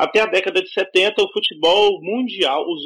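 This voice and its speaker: This is a man speaking. His pitch is high. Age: 20s. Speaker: football analyst, journalism student. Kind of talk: casual chat.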